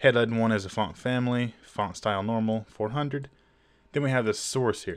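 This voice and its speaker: A man's normal speaking voice, medium in pitch, with fairly even intonation and a moderate pace, in a very clean recording with a silent background. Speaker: web design tutorial youtuber. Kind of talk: tutorial. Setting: screen recording. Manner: casual, filler-heavy.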